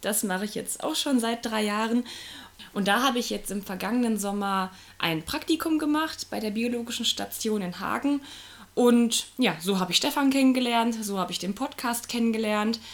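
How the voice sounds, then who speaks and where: This woman has an ordinary speaking voice with a fairly high pitch. Her pitch varies in an ordinary way. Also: moderate pace. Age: 20s. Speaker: new podcast co-host, geography student. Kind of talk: casual podcast self-introduction.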